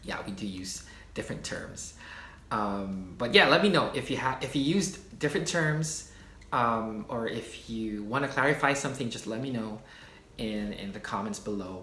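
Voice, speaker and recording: With a Philippine accent and lively intonation, a man speaks at a moderate pace and medium pitch, and room echo is audible. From Philippines. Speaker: YouTuber, culture explainer. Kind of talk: casual explainer video. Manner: hesitant, many fillers.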